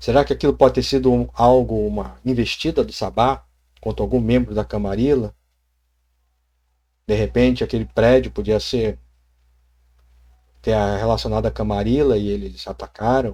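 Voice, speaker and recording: A man speaks with long, frequent pauses on a very clean recording with a silent background. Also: moderate pace. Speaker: tabletop RPG youtuber. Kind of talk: casual vlog.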